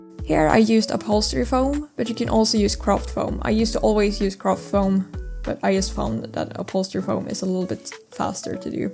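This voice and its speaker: A woman with a non-native accent talks at a fairly quick pace with hardly any pauses. Music plays in the background. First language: not English. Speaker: mask maker. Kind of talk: craft tutorial voice-over.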